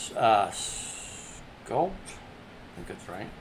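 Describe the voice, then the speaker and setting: A man speaks at a very slow pace, with audible echo in the room. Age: 60s. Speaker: artist livestreamer. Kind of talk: casual crafting demo.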